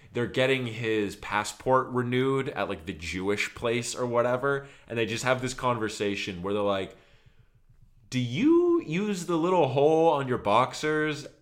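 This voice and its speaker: This man has an unremarkable speaking voice. He talks at a moderate pace with lively intonation. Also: medium pitch for a man. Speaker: music podcast co-host. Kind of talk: casual chat.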